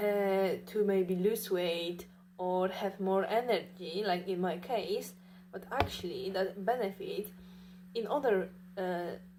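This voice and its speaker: Fairly even in intonation, the delivery is very slow. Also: woman, medium pitch for a woman. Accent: non-native. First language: not English. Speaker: vlogger. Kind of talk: casual monologue. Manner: halting, many fillers.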